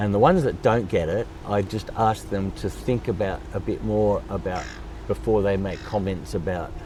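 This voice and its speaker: Noticeable background noise sits under a man speaking at a moderate pace with an Australian accent. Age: 70s. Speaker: drummer and charity founder. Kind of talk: interview.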